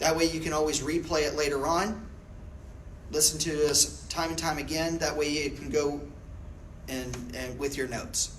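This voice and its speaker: A man speaks at a moderate pace and a fairly high pitch, in a monotone, flat intonation with long, frequent pauses. Noticeable background noise and audible room echo fill the recording. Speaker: real estate technology trainer. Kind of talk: classroom training. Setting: classroom with audience.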